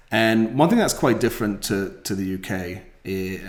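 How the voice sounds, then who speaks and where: This is a man speaking with a British accent. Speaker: rental company founder. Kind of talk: podcast interview.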